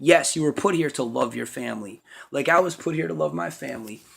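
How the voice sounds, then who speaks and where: Vocal fry and very wide pitch swings come through in a very clean recording with a silent background. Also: man. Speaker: parent giving advice to daughter. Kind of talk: casual monologue to camera. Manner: fast.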